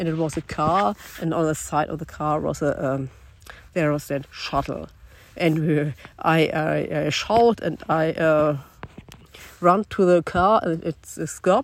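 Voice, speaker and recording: Speaking with a German accent at a fairly slow pace, this voice has ordinary pitch variation and long, frequent pauses. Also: woman, very deep, low pitch for a woman. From Germany. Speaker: long-distance hiker. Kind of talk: self-recorded audio diary. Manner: halting.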